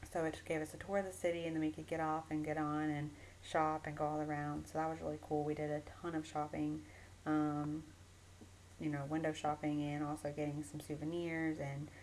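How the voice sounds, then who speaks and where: Her pitch very deep and low, a woman speaks in an animated tone at a fairly quick pace. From US South, Georgia. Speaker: vlogger. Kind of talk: video diary. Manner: animated, casual with many fillers.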